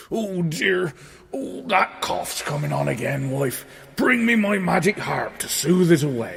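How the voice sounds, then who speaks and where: At a middle pitch, someone performs a put-on character voice. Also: fairly slow pace. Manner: gruff, putting on a cough.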